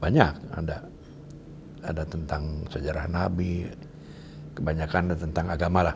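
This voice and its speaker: A man's very deep, low voice, monotone and flat, at a moderate pace with long, frequent pauses over noticeable background noise. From Majalaya, West Java, Indonesia; West Java, Indonesia. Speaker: son of a national historical figure, interviewee; interviewee. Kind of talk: interview. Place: home room. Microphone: lapel.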